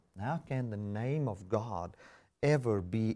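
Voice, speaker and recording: With a non-native accent, a man speaks in a dark, mellow tone at medium pitch with ordinary pitch variation, on a very clean recording with a silent background. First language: not English. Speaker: pastor. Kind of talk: sermon. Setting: live webcast.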